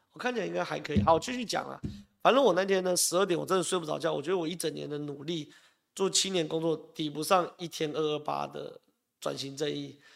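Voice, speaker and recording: On a very clean recording with a silent background, a man with a Taiwanese accent talks at a very fast pace in an animated tone. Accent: Taiwanese Mandarin. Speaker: political commentator. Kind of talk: live political talk show. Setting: live stream studio.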